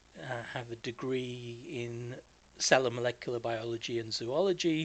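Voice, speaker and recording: A man with a slight Canadian accent speaks at a moderate pace, his medium pitch showing ordinary variation. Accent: English, very slight Canadian hint. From England. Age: 50s. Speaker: podcast host being interviewed. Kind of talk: casual chat interview.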